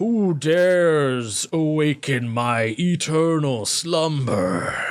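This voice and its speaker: A man's put-on character voice, fairly high in pitch, at a very slow pace. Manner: commanding.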